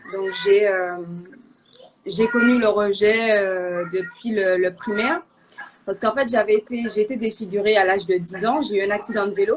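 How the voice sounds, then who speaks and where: Moderate pace from a woman at medium pitch, with ordinary pitch variation, long, frequent pauses and noticeable background noise. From Martinique. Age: 20s. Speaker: guest sharing faith testimony. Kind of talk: testimony. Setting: live online show. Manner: halting, many hesitations.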